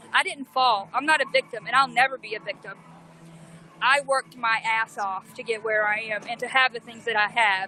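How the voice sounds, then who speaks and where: With a Southern US accent, a woman talks at a fairly quick pace in a fairly high, animated voice, with ordinary pitch variation and big swings in loudness. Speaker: protester and livestreamer. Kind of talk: impassioned speech to livestream; livestream chat.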